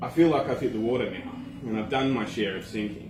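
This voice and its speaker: Noticeable background noise accompanies a speaker with an Australian accent. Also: man. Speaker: slam poet. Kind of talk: slam poetry performance. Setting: live open mic.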